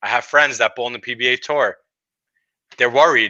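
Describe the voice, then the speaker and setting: A man with a Brooklyn accent speaks at medium pitch in a bright, sharp tone, with a dry, close sound with no echo and a quiet background. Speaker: bowling podcast co-host. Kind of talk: casual chat. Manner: animated.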